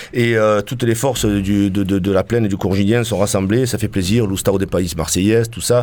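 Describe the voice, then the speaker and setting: A man with a plain, everyday voice, fairly low-pitched and fairly even in intonation, at a fairly quick pace with hardly any pauses. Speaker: band member. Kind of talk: casual live radio chat. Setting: radio studio.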